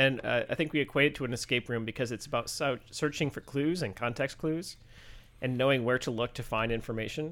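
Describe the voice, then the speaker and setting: On a very clean recording with a silent background, a man with an American accent and a plain, everyday voice talks at a fairly quick pace in a medium pitch with ordinary pitch variation. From Michigan. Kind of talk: casual chat.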